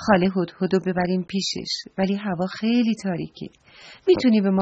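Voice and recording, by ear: A natural voice reading aloud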